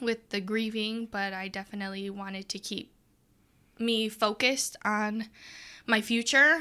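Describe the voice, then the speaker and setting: A woman with an American accent speaks at a medium pitch and moderate pace, her tone bright and sharp. Her intonation stays monotone and flat over a very clean recording with a silent background. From US Midwest, Adrian, Michigan. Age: 20s. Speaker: podcast guest. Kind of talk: interview conversation.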